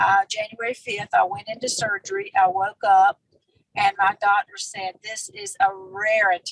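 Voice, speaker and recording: A woman's fairly high voice at a fairly slow pace, in a dry, close sound with no echo. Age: 60s. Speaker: retired nurse, wellness product associate. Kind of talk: interview testimony.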